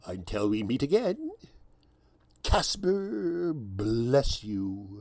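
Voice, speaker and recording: A man puts on a character voice at a medium pitch and drags his words out very slowly. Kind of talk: satirical radio news commentary.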